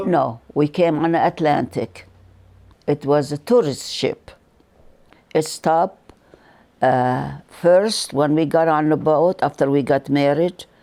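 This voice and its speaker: In a Lebanese accent, a woman speaks very slowly with a very deep, low pitch and a dark, mellow tone, her loudness very even, her pitch variation ordinary, and her pauses long and frequent, on a very clean recording with a silent background. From Lebanon. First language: Arabic. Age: 80s+. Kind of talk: interview answer.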